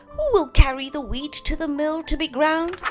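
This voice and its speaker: Over clear background music, a woman puts on a character voice, pitched high and delivered at a moderate pace. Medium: read story. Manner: brisk, earnest.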